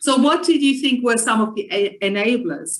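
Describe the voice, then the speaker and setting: A woman speaks with a non-native accent. She keeps a moderate pace. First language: not English. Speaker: panel moderator. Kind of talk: panel interview.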